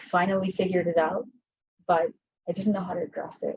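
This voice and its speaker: A soft-spoken woman with an American accent at a medium pitch. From US West Coast (Los Angeles, between Compton and Watts). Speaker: insurance catastrophe modeling leader. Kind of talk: fireside chat.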